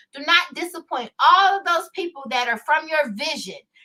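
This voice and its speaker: An animated woman with an American accent, her voice raised and projected, her intonation lively. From US South, Houston, Texas. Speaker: lawyer and online show host. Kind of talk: live stream monologue. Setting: live stream. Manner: loud.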